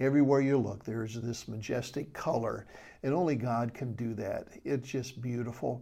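A man speaks at a moderate pace in a medium pitch, his dark, mellow tone carrying fairly even intonation over audible room echo. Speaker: Bible study teacher. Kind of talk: Bible study lecture; prayer. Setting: recorded video for a study group.

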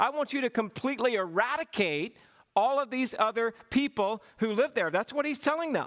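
A man speaks at a fairly quick pace with lively intonation and an extremely high pitch, the sound dry and close with no echo. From US South, Georgia (small town). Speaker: pastor. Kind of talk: sermon. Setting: church.

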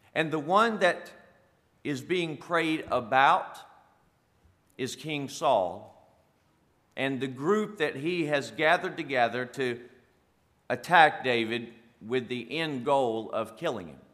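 Amid audible room echo, a man with a fairly high pitch and a bright, sharp tone speaks at a very slow pace, with lively intonation and long, frequent pauses. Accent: South Carolina. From South Carolina. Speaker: pastor and firefighter. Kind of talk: sermon. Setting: church.

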